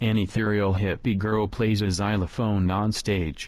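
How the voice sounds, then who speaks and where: A man in a put-on character voice, fairly low-pitched, at a moderate pace. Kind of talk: audio description. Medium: video game. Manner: flat, even.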